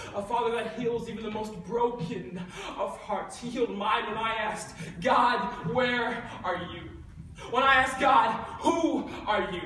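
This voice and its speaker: A man speaks in a raised, projected voice with ordinary pitch variation. Audible room echo and light background noise surround him. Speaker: spoken word poet. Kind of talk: spoken word poetry performance. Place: hall.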